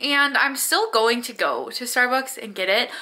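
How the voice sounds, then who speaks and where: A woman's raised, projected voice, bright and sharp in tone, at a moderate pace. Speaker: vlogger. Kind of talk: casual vlog chat. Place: home room. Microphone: phone near.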